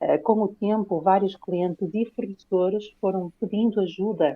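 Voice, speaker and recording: A woman's medium-pitched voice with a Lisbon accent at a moderate pace. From Portugal, Lisbon. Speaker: private investigator, corporate fraud expert. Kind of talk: interview. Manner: halting, many fillers.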